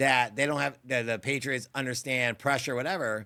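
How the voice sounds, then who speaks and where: A man speaks at a moderate pace in a medium pitch, his tone animated and bright and sharp, on a very clean recording with a silent background. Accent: American. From Seattle, US Pacific Northwest. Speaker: podcast host. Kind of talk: casual chat.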